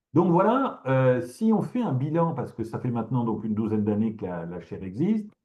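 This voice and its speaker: At a fairly quick pace, a man with a medium pitch and a dark, mellow tone speaks with very wide pitch swings. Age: 60s. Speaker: professor. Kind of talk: lecture. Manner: halting, many fillers and repetitions.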